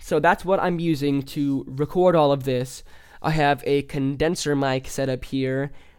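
On a very clean recording with a silent background, a man with a Midwestern American accent and a fairly high pitch talks at a fairly slow pace with fairly even intonation. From US Midwest, central Illinois. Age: young. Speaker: podcast host, musician. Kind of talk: casual monologue. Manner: hesitant, filler-heavy.

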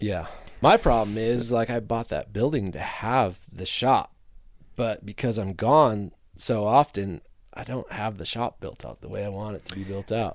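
A man with an American accent speaks in a normal speaking voice at medium pitch and a moderate pace, with ordinary pitch variation and big swings in loudness, on a very clean recording with a silent background. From US Midwest, northern Illinois (Rockford). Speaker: motorcycle photographer. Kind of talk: casual chat.

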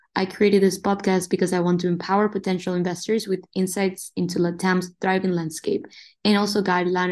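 A woman in a Spanish accent, medium in pitch, fairly quick, with monotone, flat intonation against a quiet background. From Uruguay. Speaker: podcast host. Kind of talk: interview.

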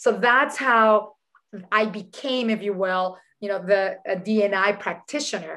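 Speaking very slowly, a woman has a bright, sharp tone at a medium pitch with ordinary pitch variation. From Dominican Republic. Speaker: chief people officer, diversity strategist. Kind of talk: interview.

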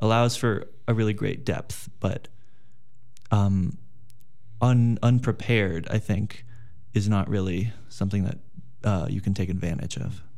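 Set in a room with audible echo, a dark, mellow voice proceeds at a fairly slow pace with long, frequent pauses and ordinary pitch variation. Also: man, fairly low pitch for a man. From Los Angeles, California. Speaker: college student. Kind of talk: interview conversation.

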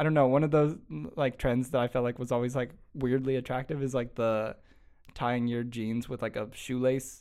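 At a moderate pace, a man talks in a plain, everyday voice. His pitch is medium and his intonation fairly even. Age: young. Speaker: podcast host. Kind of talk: casual chat.

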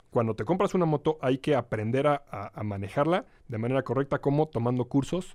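A man with a Mexican accent, in a dry, close sound with no echo. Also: very clean recording, silent background. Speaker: motorcycling instructor. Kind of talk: casual interview. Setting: studio.

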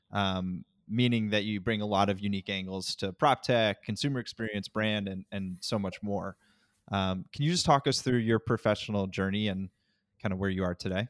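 A man with an ordinary speaking voice talks at a moderate pace, his pitch fairly low and his intonation fairly even. The recording is very clean with a silent background, giving a dry, close sound with no echo. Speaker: podcast co-host. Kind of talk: casual interview.

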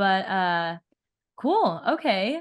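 A woman's medium-pitched voice with a Californian accent. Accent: General American, Californian. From Southern California. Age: 20s. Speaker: podcast host and pro pickleball player. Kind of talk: casual chat; scripted narration.

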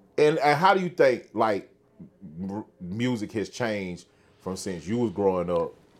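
A man's fairly low voice at a fairly slow pace, with very wide pitch swings. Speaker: podcast host. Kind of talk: casual interview. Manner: laughs often.

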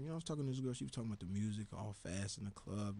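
A somewhat breathy male voice with a dark, mellow tone. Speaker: student podcast host. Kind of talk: casual chat. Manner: animated.

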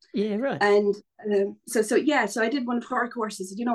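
A moderate pace and a fairly high pitch from a woman. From Ireland. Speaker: painter and writer. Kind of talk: casual interview chat. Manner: chatty, many fillers.

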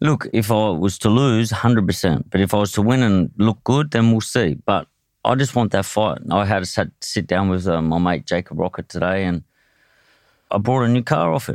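Moderate pace, very even loudness and ordinary pitch variation, with a dry, close sound and no echo in a very clean recording over a silent background. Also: man, fairly low pitch for a man. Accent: Australian. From Australia (Tasmania, Hobart). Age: 30s. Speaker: professional boxer. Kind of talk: casual interview.

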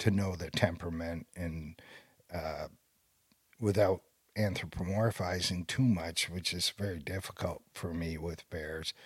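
On a very clean recording with a silent background, a man with a very deep, low pitch speaks at a fairly slow pace in fairly even intonation, leaving long, frequent pauses. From Maine. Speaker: wildlife biologist. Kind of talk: casual interview. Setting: in person at his lodge.

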